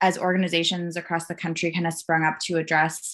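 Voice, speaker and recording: A woman talks at a moderate pace with a fairly low pitch. The background is quiet. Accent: Minnesotan. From Minnesota. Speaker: gender justice advocate. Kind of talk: interview.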